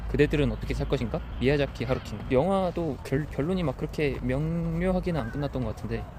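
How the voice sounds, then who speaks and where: A man at a very fast pace, with hardly any pauses. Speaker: vlogger. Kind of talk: casual monologue while walking. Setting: outdoors on a walk. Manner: halting, self-correcting.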